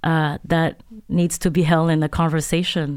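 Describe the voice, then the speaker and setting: Her pitch is fairly low as a woman speaks at a very slow pace. The recording is very clean with a silent background. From Montreal, Quebec. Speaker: artist and filmmaker. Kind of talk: interview.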